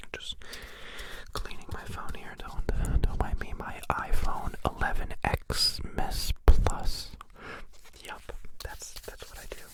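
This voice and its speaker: Whispering at a very slow pace with long, frequent pauses, a man is heard over noticeable background noise. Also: big swings in loudness. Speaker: ASMR streamer. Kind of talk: live stream ASMR chat. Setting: live stream.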